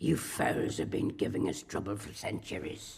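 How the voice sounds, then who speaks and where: In a growling, put-on character voice, a man speaks at a moderate pace and a fairly low pitch. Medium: voice reel.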